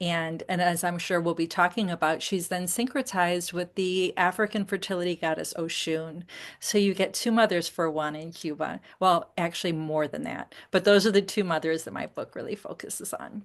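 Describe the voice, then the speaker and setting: At a moderate pace, a woman with a normal speaking voice talks at a fairly low pitch with fairly even intonation. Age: 60s. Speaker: memoirist and dance teacher. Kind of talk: interview conversation.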